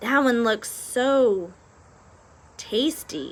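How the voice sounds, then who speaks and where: A woman uses a put-on character voice with a high pitch. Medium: read story. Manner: stammering, hesitant.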